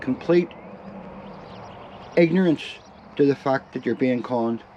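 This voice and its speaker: A man speaks in a fairly high pitch with ordinary pitch variation. Noticeable background noise runs behind him. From Ireland. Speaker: van lifer. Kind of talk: casual talk to camera.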